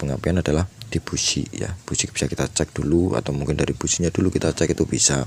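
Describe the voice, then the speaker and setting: A man speaks with ordinary pitch variation. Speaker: motorcycle mechanic. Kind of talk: tutorial. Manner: hesitant, many fillers.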